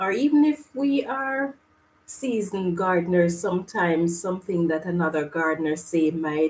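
Fairly slow delivery with lively intonation. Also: woman. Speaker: gardening channel host. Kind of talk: casual live stream chat. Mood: cheerful, smiling. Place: home room. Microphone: webcam.

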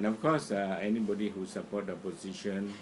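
Noticeable background noise surrounds this man. He talks at a moderate pace with a fairly low pitch. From Malaysia, Sarawak. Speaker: opposition political commentator. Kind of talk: political monologue to camera. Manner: halting with many fillers.

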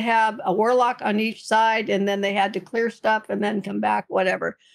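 An unremarkable speaking voice is captured on a very clean recording with a silent background. Its pitch shows ordinary variation. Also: woman. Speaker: video game streamer. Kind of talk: interview answer.

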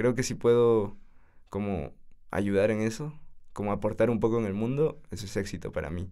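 A man speaks with a dark, mellow tone at a fairly low pitch, using ordinary pitch variation and leaving long, frequent pauses. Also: moderate pace. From Peru, Tacna. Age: 20s. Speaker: university student. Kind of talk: casual interview.

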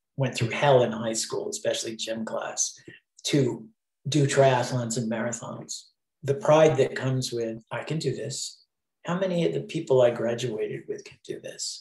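A man talks at a moderate pace and medium pitch. His voice is somewhat breathy, with big swings in loudness. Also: ordinary pitch variation. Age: 60s. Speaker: Broadway sound designer. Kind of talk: interview answer.

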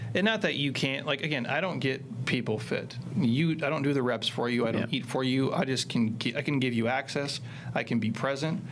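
The speaker goes at a fairly quick pace with ordinary pitch variation over light background noise. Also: man. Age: 40s. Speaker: fitness coach and entrepreneur; fitness coach. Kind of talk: casual chat. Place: studio. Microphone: studio mic.

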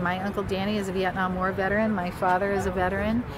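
A woman talks at a fairly quick pace, the sound dry with no echo and noticeable background noise behind her. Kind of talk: interview answer. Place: street. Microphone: phone near.

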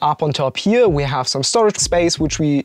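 At a moderate pace, a man speaks with ordinary pitch variation in a dry sound with no echo, over light background noise. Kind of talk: tour explanation. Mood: upbeat, light humour. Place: home room.

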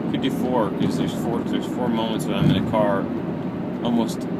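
Loud background noise runs under a man's speech. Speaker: show host driving. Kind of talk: casual vlog chat. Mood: reflective, musing. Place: car. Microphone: phone near.

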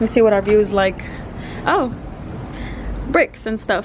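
Music plays behind a woman who talks at a fairly quick pace. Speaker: vlogger. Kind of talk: casual vlog chat. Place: home room. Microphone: phone near.

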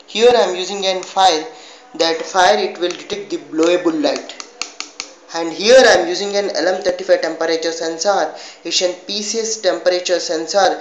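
The pace is moderate. Room echo can be heard. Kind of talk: project demonstration. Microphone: phone near.

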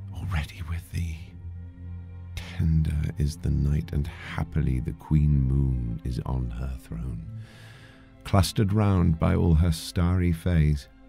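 With music playing in the background, a man speaks very slowly in a very deep, low voice. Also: ordinary pitch variation. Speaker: actor. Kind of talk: poetry reading.

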